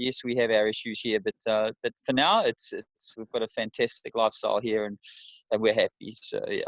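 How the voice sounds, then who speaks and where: Talking at a fairly quick pace, a man speaks with a New Zealand accent. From New Zealand, Wellington. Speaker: amateur ultra runner. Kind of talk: interview.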